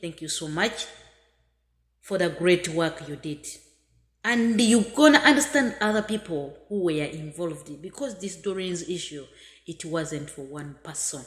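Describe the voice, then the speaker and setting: A woman with a Ugandan accent speaks at a fairly slow pace in a somewhat breathy voice of fairly low pitch, with very wide pitch swings and big swings in loudness. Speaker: migrant worker. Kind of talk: video message. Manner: halting.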